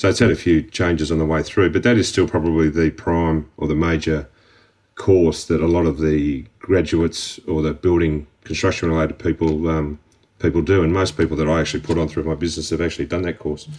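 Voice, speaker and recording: A man with an Australian accent speaks at a fairly quick pace in a very deep, low, monotone voice with flat intonation, over a quiet background. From Australia, Melbourne. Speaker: construction company director. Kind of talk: interview. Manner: hesitant, with fillers.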